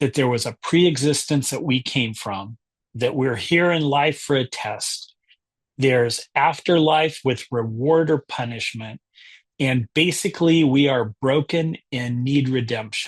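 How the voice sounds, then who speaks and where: Over a quiet background, a man speaks at a medium pitch and a fairly slow pace, somewhat breathy, with ordinary pitch variation. The sound is dry and close, with no echo. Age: 60s. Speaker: book club founder and discussion leader. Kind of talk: book discussion presentation.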